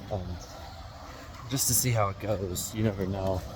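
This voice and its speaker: This man talks at a middling speed, with clearly audible background noise and echo from the room around him. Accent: American. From Utah, US. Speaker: vlogger. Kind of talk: casual vlog monologue. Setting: outdoors, walking in rain. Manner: hesitant, many fillers.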